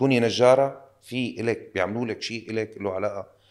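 A man with a normal speaking voice talks at a fairly slow pace and medium pitch with ordinary pitch variation. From Syria. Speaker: actor. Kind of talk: casual interview chat.

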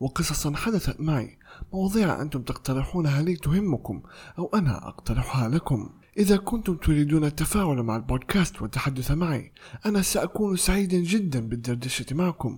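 Somewhat breathy, a man talks at a moderate pace with a fairly high pitch and lively intonation. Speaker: podcast host and voice actor. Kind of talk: solo podcast monologue.

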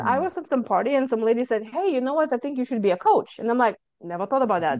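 A woman's high voice with a Lithuanian accent, very fast and with lively intonation, against a quiet background. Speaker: author and stress management coach. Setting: video call from Texas.

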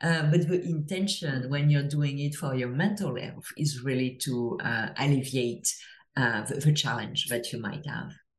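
In a French accent, a woman speaks at a fairly slow pace, somewhat breathy and very deep, low in pitch. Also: ordinary pitch variation. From France. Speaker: former venture capitalist turned psychedelics mental health advocate. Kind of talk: casual interview.

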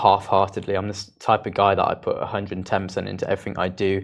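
A man with a fairly low pitch talks against a quiet background. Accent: British. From UK. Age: 20s. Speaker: content creator. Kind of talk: interview.

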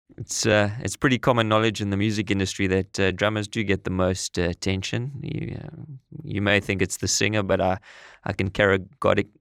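Talking at a fairly quick pace in a South African accent, a man uses ordinary pitch variation in a dry, close sound with no echo. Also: fairly low pitch for a man. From South Africa (East London, Eastern Cape). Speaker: podcast co-host and entrepreneur. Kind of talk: casual chat. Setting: studio. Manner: halting, many fillers.

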